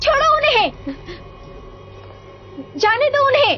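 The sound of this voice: A woman in a put-on character voice at an extremely high pitch, bright and sharp in tone, with lively intonation, a slow pace and faint background noise.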